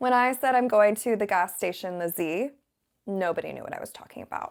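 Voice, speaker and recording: A woman's medium-pitched voice at a fairly quick pace, with ordinary pitch variation and big swings in loudness. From southern US, Virginia Beach. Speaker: English teacher. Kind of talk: casual talk to camera.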